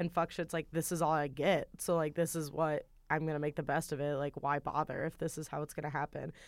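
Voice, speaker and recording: Speaking at a fairly quick pace with hardly any pauses, a woman delivers monotone, flat intonation in a very deep, low pitch. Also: very clean recording, silent background. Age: 20s. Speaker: film podcast guest. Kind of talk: casual chat.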